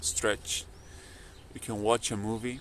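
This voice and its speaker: A man speaks at a fairly slow pace. His voice is fairly low, with fairly even intonation. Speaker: wellness tips vlogger. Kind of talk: casual talk to camera.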